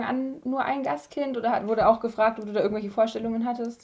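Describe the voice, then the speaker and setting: A woman's fairly high voice, fairly quick pace and ordinary pitch variation. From Bavaria. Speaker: podcast host. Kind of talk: casual interview.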